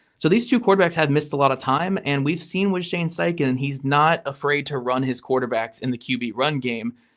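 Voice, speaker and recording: On a very clean recording with a silent background, a man talks at a fairly quick pace in a fairly high voice, with lively intonation and hardly any pauses. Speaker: sports podcast co-host. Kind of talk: casual chat.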